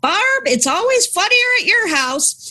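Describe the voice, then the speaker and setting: Shouting loud in a put-on character voice, a woman squeaks at an extremely high pitch with very wide pitch swings and a fairly slow pace. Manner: loud, shouting.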